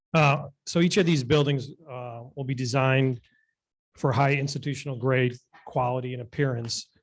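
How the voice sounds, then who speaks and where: At a moderate pace, a man with a medium-pitched, somewhat breathy voice speaks with fairly even intonation. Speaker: development applicant witness. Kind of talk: formal presentation. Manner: halting. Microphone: too far from the mic.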